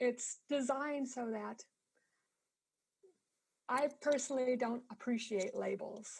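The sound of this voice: A woman speaks at a slow pace with fairly high pitch, ordinary pitch variation and vocal fry. Her tone is slightly mellow with a slightly husky edge.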